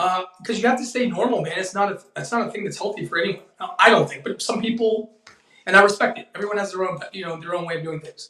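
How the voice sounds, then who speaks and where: A man speaks at a very fast pace in a raised, projected voice pitched high. His loudness swings widely, while his pitch varies in an ordinary way. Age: 40s. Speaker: actor. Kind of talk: casual chat.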